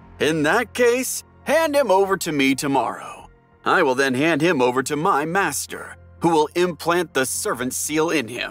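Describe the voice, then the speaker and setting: Against faint music in the background, a man with fairly high pitch and lively intonation speaks at a moderate pace. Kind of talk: audiobook drama acting. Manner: sly, falsely apologetic.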